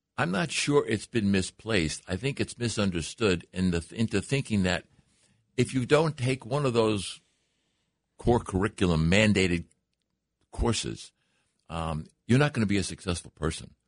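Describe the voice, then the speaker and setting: Speaking at a moderate pace with long, frequent pauses, a man with a fairly low pitch uses lively intonation. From Long Island, New York. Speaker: career skills trainer. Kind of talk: radio interview. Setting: radio studio.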